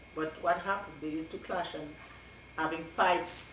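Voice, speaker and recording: A woman's very deep, low voice with a Dominican accent at a moderate pace, over noticeable background noise. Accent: Dominican Caribbean English. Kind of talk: oral history interview answer.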